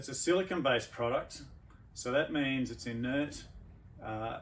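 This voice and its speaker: A man talks in a plain, everyday voice at medium pitch. His pace is moderate. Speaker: veterinarian. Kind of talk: product demonstration infomercial.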